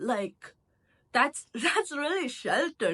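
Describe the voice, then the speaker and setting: In an American accent, a woman speaks with a high pitch, a bright, sharp tone and very wide pitch swings. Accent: American accent, switched from Indian. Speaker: YouTube commentator. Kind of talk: casual video commentary. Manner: casual, many filler words.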